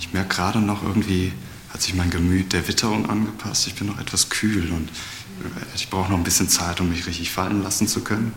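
Amid noticeable background noise and audible room echo, a man with a very deep, low pitch talks at a very fast pace in monotone, flat intonation. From Cologne, Germany. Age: 30s. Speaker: chimney sweep. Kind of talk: interview testimony.

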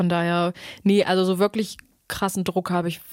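A woman in an ordinary speaking voice, at a moderate pace with fairly even intonation, on a very clean recording with a silent background. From Saxony-Anhalt, Germany (Staßfurt). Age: 20s. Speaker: singer-songwriter. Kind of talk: casual interview chat.

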